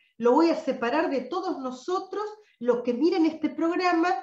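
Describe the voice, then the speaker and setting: A woman speaks at a high pitch, with audible room echo around her voice. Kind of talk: live online session talk. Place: home room. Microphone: webcam.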